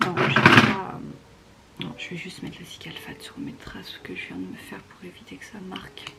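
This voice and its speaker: A woman whispering, with audible room echo and noticeable background noise. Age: 20s. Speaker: beauty vlogger. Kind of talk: casual vlog narration. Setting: at home in bedroom, late night. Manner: casual, filler-heavy; whispering in part.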